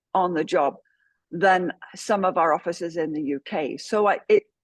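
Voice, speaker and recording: A woman with an English accent speaks at medium pitch with lively intonation. The sound is dry and close with no echo, over a quiet background. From England. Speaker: trauma care trainer, former police officer. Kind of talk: podcast interview. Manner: hesitant with many fillers.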